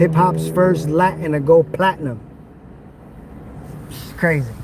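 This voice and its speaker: Noticeable background noise fills the recording. Over it, a man talks with a fairly high pitch. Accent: American. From New York City, the Bronx. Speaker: live streamer. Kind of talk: live stream walking tour. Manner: casual, slangy.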